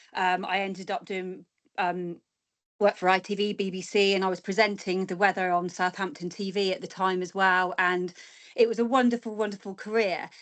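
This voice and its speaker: A woman's monotone, flat delivery at a fairly quick pace over a quiet background. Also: medium pitch for a woman. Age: 40s. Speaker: guest speaker, former weather presenter. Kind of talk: presentation.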